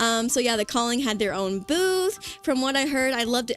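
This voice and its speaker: Music plays behind a woman talking at a fairly quick pace. Her animated voice is fairly high in pitch, with ordinary pitch variation. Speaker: vtuber streamer. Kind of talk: casual livestream chat. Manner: fast.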